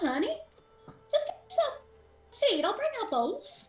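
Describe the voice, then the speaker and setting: Faint music plays in the background while a woman uses a squeaky, put-on character voice at an extremely high pitch. Her pitch swings very widely at a moderate pace. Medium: actual play. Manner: folksy, calls people honey.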